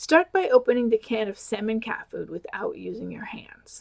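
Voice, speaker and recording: A woman puts on a raspy character voice, fairly high in pitch, at a moderate pace. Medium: read story. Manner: patient, commanding.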